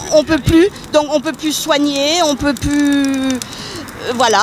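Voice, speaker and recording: There is noticeable background noise. Through it, a woman speaks at a high pitch. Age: 60s. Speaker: retiree protester. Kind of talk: street interview.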